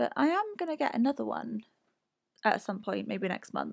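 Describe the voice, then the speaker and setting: A woman with a British accent at a moderate pace. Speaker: video game streamer. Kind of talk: casual chat. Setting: live stream.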